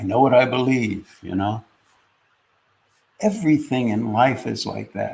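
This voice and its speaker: Vocal fry marks this man's medium-pitched voice. He speaks at a fairly slow pace with long, frequent pauses. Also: ordinary pitch variation. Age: 70s. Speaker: spiritual teacher and podcast host. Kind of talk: reflective podcast talk. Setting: podcast recording with a co-host.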